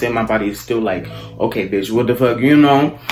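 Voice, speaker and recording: With music in the background, a man talks at a very fast pace in an animated tone with ordinary pitch variation. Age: 20s. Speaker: video blogger. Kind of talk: casual chat.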